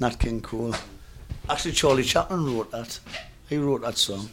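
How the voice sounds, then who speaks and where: A man talks in a medium pitch, his pitch shifting in an ordinary way, while noticeable background noise runs underneath. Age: 50s. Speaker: punk drummer. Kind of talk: casual interview. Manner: halting.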